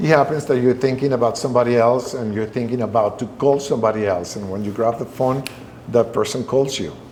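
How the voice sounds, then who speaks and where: A man speaks at a very fast pace and a medium pitch. His pitch varies in an ordinary way over noticeable background noise. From Venezuela. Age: 60s. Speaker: restaurateur. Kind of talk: interview. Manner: halting.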